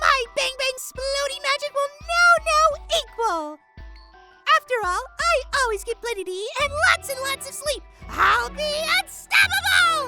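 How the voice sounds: This cartoonish character voice has a bright, sharp tone and big pitch swings at a fairly slow pace. Faint music plays in the background.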